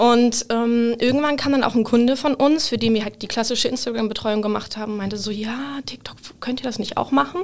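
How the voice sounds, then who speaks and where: A woman speaks at a fairly quick pace with hardly any pauses, her pitch fairly high and her intonation fairly even. Noticeable background noise runs underneath. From northern Germany, Hamburg. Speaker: social media marketing lead. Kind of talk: casual interview. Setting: studio.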